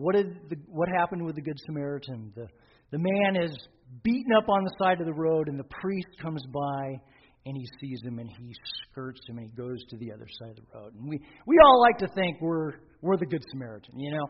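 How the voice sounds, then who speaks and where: At a fairly quick pace, an ordinary speaking voice moves with lively intonation and big swings in loudness. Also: man, fairly high pitch for a man. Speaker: pastor. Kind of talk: sermon.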